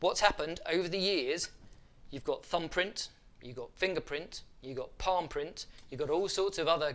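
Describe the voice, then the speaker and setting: With a British accent, a man speaks at a moderate pace in a high pitch. His tone is animated. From UK. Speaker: photography youtuber. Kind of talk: tutorial. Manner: casual, animated.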